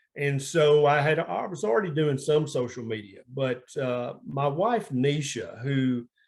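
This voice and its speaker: A man's fairly high pitch, with ordinary pitch variation, at a fairly slow pace against a quiet background. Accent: Southern US. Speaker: family physician. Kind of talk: interview.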